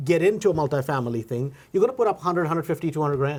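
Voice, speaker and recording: On a very clean recording with a silent background, a man with a non-native accent speaks in an animated tone with lively intonation. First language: not English. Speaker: podcast host, real estate investor. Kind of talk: casual interview. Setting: studio.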